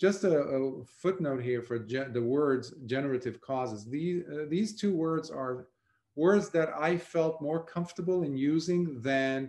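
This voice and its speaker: Fairly slowly and with a non-native accent, a man speaks at a fairly high pitch with ordinary pitch variation. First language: not English. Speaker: Buddhist monk teacher. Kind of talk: dharma talk. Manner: halting with fillers.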